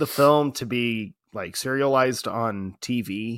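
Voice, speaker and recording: In a very clean recording with a silent background, a man's voice comes through. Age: 30s. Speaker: movie podcast co-host. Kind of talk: casual chat. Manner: animated.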